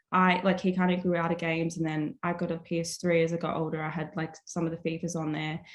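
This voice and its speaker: A fairly quick pace in an Australian accent. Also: woman. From Australia, Melbourne. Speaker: artist. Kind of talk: casual chat. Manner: many fillers (like, um).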